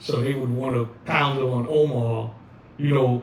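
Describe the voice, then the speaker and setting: A man speaks with a New York accent. Noticeable background noise can be heard. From the Bronx, New York. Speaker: hip hop DJ and dancer. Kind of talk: oral history interview answer. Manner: casual, conversational.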